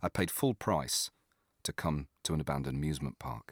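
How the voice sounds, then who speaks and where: A man speaks at a fairly quick pace with vocal fry and lively intonation. The recording is very clean, with a silent background and a dry, close sound with no echo. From northern England, Doncaster. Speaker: comedy writer and narrator. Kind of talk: scripted narration.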